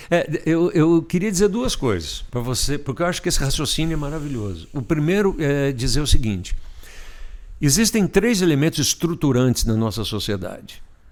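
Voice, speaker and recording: At a moderate pace, a man with a fairly high pitch swings very widely in pitch. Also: very clean recording, silent background. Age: 60s. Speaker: emotional intelligence specialist. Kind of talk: casual chat.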